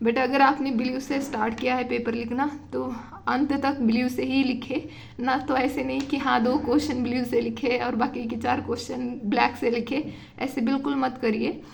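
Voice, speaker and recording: A woman's high-pitched, monotone, flat delivery with audible room echo. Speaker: UPSC exam tutor. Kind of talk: tutorial. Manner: hesitant with fillers.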